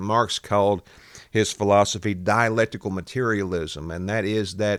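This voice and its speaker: The recording is very clean, with a silent background. The speaker has a Southern US accent, a moderate pace and fairly even intonation. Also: man, fairly low pitch for a man. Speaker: political commentator. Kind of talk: political podcast commentary. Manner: casual, conversational.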